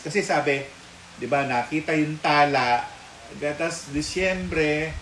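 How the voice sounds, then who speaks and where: Through noticeable background noise and audible room echo, the speech moves at a very slow pace. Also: man. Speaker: mystic commentator. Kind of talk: casual chat. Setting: live stream.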